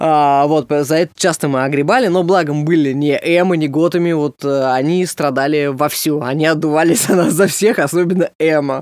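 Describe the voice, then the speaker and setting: A man with a plain, everyday voice speaks at a moderate pace, with hardly any pauses and very even loudness. His pitch is fairly high, with ordinary pitch variation. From Russia, Samara. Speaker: comedian. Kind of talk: casual chat.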